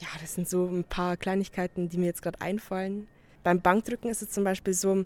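This woman has a dark, mellow tone at a medium pitch. Her recording is dry and close, with no echo. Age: 20s. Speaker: competitive powerlifter. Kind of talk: interview.

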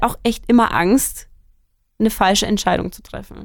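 A woman talks at a fairly quick pace in a plain, everyday voice. Her pitch is fairly high and her intonation fairly even. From Germany, Franconia near Nuremberg. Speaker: student podcast co-host. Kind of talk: casual chat.

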